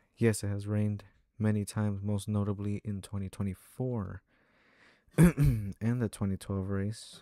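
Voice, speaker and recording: A man speaks quietly at a fairly low pitch, in a dark, mellow tone with fairly even intonation and long, frequent pauses. The recording is very clean, with a silent background and a dry, close sound with no echo. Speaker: sim racing streamer. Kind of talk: live stream commentary. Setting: home room, parents next door.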